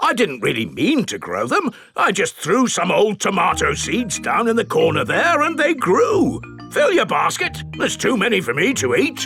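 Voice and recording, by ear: Clear music plays in the background. Over it, a cartoonish character voice moves at a moderate pace.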